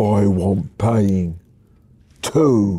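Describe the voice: Fairly low pitch from a man in a put-on character voice.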